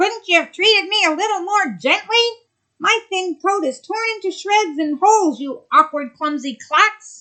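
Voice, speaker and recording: A put-on character voice, squeaky and raised to project loudly. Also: woman, extremely high pitch for a woman, moderate pace. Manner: indignant, complaining.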